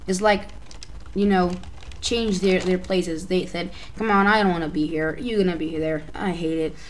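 Speaking at a moderate pace, a woman with a fairly low pitch keeps her intonation fairly even, with audible room echo. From Albania. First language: Albanian. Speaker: YouTube tutorial maker. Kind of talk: tutorial. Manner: halting.

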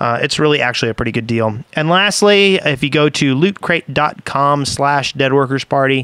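With lively intonation and a fairly high pitch, a man speaks at a moderate pace in a dry sound with no echo against a quiet background. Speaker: podcast host. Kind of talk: casual chat. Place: home room. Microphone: studio mic.

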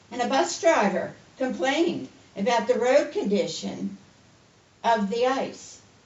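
A woman speaks at a fairly high pitch and a fairly slow pace, with lively intonation and long, frequent pauses. Noticeable background noise runs underneath. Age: 70s. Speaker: resident speaking at public comment. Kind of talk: public comment at town meeting.

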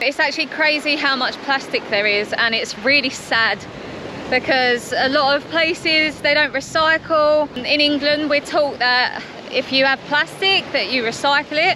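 A woman speaks in a raised, projected voice at a moderate pace, with ordinary pitch variation and very even loudness, in a dry recording with no echo and noticeable background noise. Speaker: travel vlogger. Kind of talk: casual vlog chat. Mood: sad, concerned about plastic. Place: beach. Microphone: phone near.

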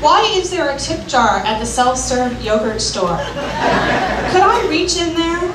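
A woman speaks at a fairly slow pace in a high pitch with big pitch swings, while clear crowd noise and clear background noise sound behind her.

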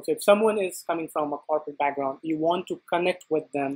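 The background is quiet. A woman talks at a fairly quick pace with a fairly low pitch. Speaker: talk show host. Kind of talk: interview question. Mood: friendly, warm. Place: home room.

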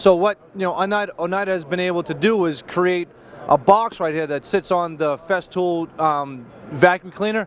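A man talks at a fairly quick pace with a high pitch. The sound is dry with no echo, over light background noise. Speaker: TV woodworking show host. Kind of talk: interview and product commentary. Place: hall. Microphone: handheld.

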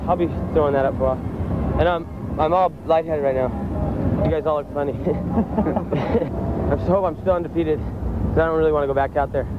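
Loud background noise sits behind a man speaking with a dry sound and no echo. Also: ordinary pitch variation, fairly quick pace. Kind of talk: interview answer. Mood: shaken, laughing, relieved. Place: beach. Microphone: lapel.

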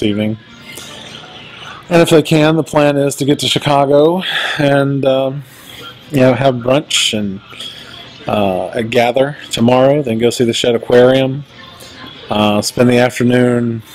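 Fairly slow speech with long, frequent pauses and ordinary pitch variation, over faint background music. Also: man. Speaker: vlogger. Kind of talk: casual vlog chat. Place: shop. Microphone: phone near.

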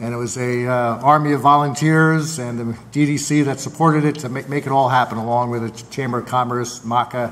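At a moderate pace, a man speaks. His intonation is flat and monotone. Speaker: mayor. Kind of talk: council meeting report. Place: hall. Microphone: podium.

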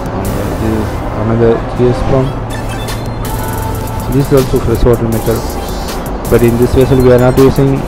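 A man's voice comes through dry with no echo, while clear music plays in the background. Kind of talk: tour guide explanation. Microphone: phone near.

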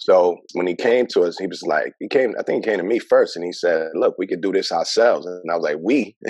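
A man with a New York accent at a fairly quick pace, hardly any pauses, a dry sound with no echo and a quiet background. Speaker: mental health worker; podcast guest. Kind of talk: interview. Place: home room. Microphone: video call.

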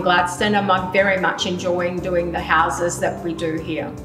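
Over clear music in the background, a woman talks at a moderate pace in a fairly low voice. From Australia, Queensland. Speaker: real estate sales specialist and auctioneer. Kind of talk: promotional interview answer to camera. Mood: warm, pleased. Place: kitchen.

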